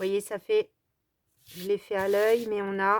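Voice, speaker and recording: At a fairly slow pace, a woman speaks at a medium pitch in a monotone, flat intonation, with a dry, close sound and no echo. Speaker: crafting youtuber. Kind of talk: tutorial. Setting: at home. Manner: casual, hesitant with fillers.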